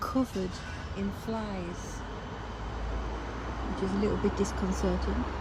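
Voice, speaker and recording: A soft-spoken woman talks at a moderate pace. Background noise is noticeable. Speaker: graveyard vlogger. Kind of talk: walking vlog narration. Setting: outdoors in a cemetery.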